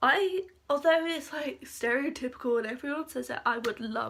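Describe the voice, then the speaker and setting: A woman speaks at a moderate pace with an English accent. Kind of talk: casual talk to camera.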